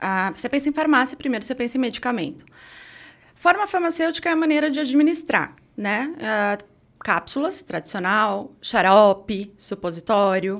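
The voice swings very widely in pitch at a moderate pace. The recording is very clean, with a silent background. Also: woman, high pitch for a woman. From Sorocaba, São Paulo state, Brazil. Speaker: pharmacist and entrepreneur. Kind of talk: casual interview chat.

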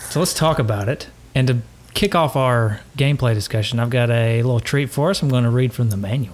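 A man with a Southern US accent talks at a fairly quick pace and medium pitch, with ordinary pitch variation and very even loudness. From East Tennessee. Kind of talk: casual chat.

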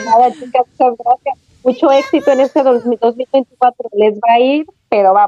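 A woman with a high pitch talks at a fairly slow pace, with ordinary pitch variation and very even loudness. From Mexico, Aguascalientes. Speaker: mother abroad. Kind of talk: casual chat.

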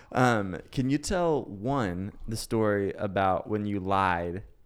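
This man has a normal speaking voice, fairly low in pitch, with ordinary pitch variation. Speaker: podcast host. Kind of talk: casual interview chat.

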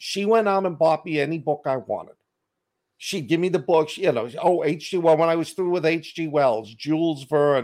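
Speaking in a Boston accent, a man with a fairly high pitch talks at a moderate pace with ordinary pitch variation. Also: very clean recording, silent background. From Boston, US. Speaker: author and podcaster. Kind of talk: casual chat.

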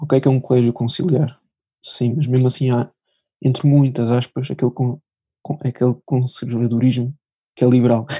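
A man's medium-pitched, somewhat breathy voice, monotone and flat, at a moderate pace with long, frequent pauses. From Portugal, Lisbon. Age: young. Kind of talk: testimony.

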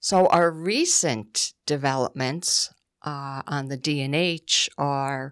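A woman's very deep, low voice with a northeastern Pennsylvania accent and ordinary pitch variation, on a very clean recording against a silent background. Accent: northeastern Pennsylvania (Scranton) American. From northeastern Pennsylvania, Scranton. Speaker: executive director of a trail nonprofit. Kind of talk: radio interview. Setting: studio.

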